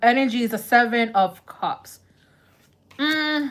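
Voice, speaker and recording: Very slowly, a woman with a New York accent speaks in a high pitch with very wide pitch swings, recorded very cleanly against a silent background. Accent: Bronx New York. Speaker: tarot reader. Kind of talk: live-stream tarot reading, casual chat. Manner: casual, conversational.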